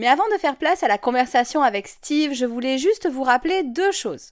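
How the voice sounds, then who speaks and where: In a very clean recording with a silent background, a woman speaks at a moderate pace in a high voice with very wide pitch swings. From France. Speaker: podcast host, yoga teacher and neuroscientist. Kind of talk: scripted podcast intro then interview.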